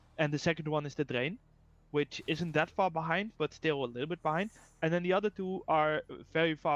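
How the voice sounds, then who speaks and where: A man speaks with a strong Dutch accent at a fairly high pitch. The background is quiet, and the sound is dry and close with no echo. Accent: strong Dutch accent, rolling R. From Netherlands, near Rotterdam. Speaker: game developer, guest co-caster. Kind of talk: casual chat, game commentary. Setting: live stream. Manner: hesitant, many fillers.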